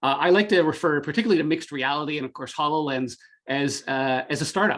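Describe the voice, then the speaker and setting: Speaking very fast, a man has a slight Canadian accent. His pitch is fairly high and varies in an ordinary way. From Canada, Greater Toronto area. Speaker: tech marketing executive. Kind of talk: podcast interview. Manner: halting, many fillers.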